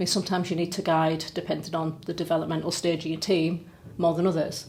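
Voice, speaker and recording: A woman with a Teesside accent, fairly low-pitched and fairly quick. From Middlesbrough, North East England. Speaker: charity chief executive. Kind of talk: podcast interview answer.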